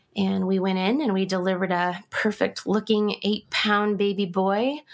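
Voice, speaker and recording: A woman with an American accent and a normal speaking voice talks at a fairly slow pace, her medium pitch held in fairly even intonation. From Kansas. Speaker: guest sharing loss story. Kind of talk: interview.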